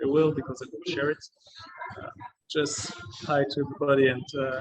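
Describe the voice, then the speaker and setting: With a French accent, a man speaks in a fairly high pitch and fairly even intonation. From France. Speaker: travelling judoka. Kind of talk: interview. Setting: video call from a coffee shop. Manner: hesitant, many fillers.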